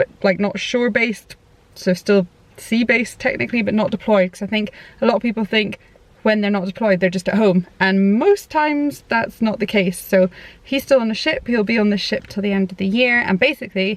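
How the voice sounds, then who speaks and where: A fairly quick voice with a British accent and ordinary pitch variation. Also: woman, fairly high pitch for a woman. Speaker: parenting vlogger. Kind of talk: casual chat. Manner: fast.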